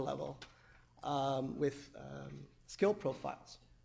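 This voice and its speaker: There is vocal fry in this man's fairly high voice. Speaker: academic researcher. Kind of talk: conference presentation. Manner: halting with many fillers.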